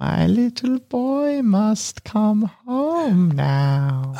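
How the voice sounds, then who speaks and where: A put-on character voice at a fairly high pitch, with very wide pitch swings and a very slow pace. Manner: calling, eerie.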